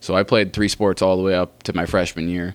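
A man with a very deep, low pitch talks at a fairly quick pace in an American accent. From US, Oregon coast. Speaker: basketball skills trainer. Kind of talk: casual interview.

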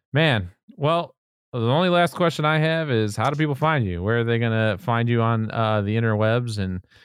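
Against a quiet background, a man speaks at a medium pitch with lively intonation. He has an ordinary speaking voice. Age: 30s. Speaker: podcast host, photographer. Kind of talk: casual interview.

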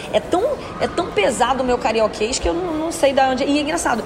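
Woman with a strong carioca accent, high pitch and very fast pace, with audible room echo and noticeable background noise. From Rio de Janeiro, Baixada Fluminense. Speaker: radio presenter. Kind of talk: casual chat.

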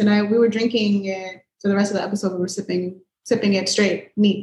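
A woman with an American accent talks at a fairly quick pace in an ordinary speaking voice, her pitch medium. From Miami, Florida. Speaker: podcast guest. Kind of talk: casual chat. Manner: blunt, talkative.

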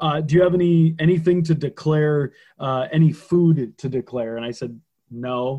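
In an American accent, a man with a fairly high pitch speaks in a normal speaking voice with ordinary pitch variation. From Minnesota, small town Detroit Lakes. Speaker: wrestler. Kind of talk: casual interview chat, storytelling.

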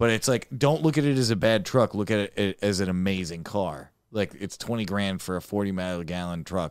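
Speaking in an American accent with hardly any pauses, a man with an unremarkable speaking voice and a fairly low pitch moves at a fairly quick pace with ordinary pitch variation in a very clean recording with a silent background. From Dearborn, Michigan, US. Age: 20s. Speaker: podcast guest. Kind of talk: casual chat.

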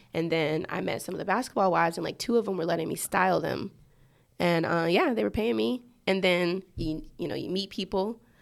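Moving at a fairly quick pace, a woman with an American accent speaks at a fairly low pitch with very wide pitch swings and vocal fry, in a very clean recording with a silent background. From Georgia, US. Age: 20s. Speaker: DJ. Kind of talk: casual chat interview.

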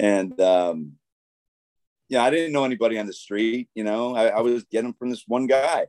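An ordinary speaking voice with an American accent, ordinary pitch variation and a moderate pace, recorded dry and close with no echo. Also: man, medium pitch for a man. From upstate New York, Schenectady. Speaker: motivational speaker and author, former prosecutor. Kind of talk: interview testimony.

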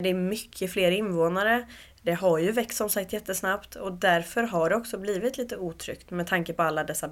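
Here a woman with a normal speaking voice talks at a moderate pace and medium pitch with ordinary pitch variation. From Uppsala, Sweden. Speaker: community group founder. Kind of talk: interview.

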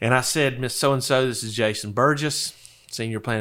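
A man with an American accent, bright and sharp in tone, at a moderate pace with fairly even intonation. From Florida Panhandle. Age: 40s. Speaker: Medicare insurance broker. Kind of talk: interview conversation. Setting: office.

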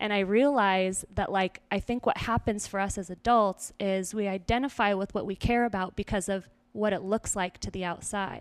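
A woman with an American accent speaks in an unremarkable speaking voice at a medium pitch and moderate pace. Her intonation is fairly even, and the recording is very clean, with a silent background. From small-town Idaho. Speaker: self-mastery coach and podcast host. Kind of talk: casual interview chat.

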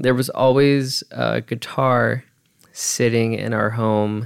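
Here a man with an American accent is heard in a very clean recording with a silent background. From Southern California, high desert (Hesperia). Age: 20s. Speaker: podcast host, musician and audio engineer. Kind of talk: casual solo monologue. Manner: halting, many fillers and repetitions.

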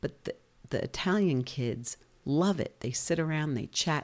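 A woman speaks with a New Jersey accent at a moderate pace. The recording is very clean, with a silent background. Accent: New Jersey American. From New Jersey, US. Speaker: B&B and tour company owner, podcast co-host. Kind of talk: casual chat.

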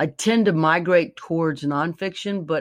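Recorded very cleanly over a silent background, a woman with an American accent speaks fairly slowly in a very deep, low pitch with ordinary pitch variation. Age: 60s. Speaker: singer-songwriter and author. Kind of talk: casual interview. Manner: halting, many fillers.

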